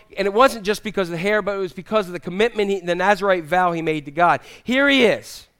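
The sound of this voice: Ordinary pitch variation within an unforced reading voice.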